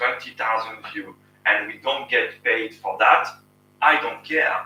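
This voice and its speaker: A fairly slow delivery in a French accent, with big swings in loudness. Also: man. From France. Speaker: YouTube channel host, engineer. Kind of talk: casual live stream Q&A. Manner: halting.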